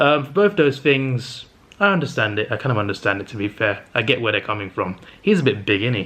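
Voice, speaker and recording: A bright, sharp tone in a British accent at a very fast pace. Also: man, medium pitch for a man. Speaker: movie reviewer vlogger. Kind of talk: casual vlog monologue. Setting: home, in a flat late at night. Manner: stuttering.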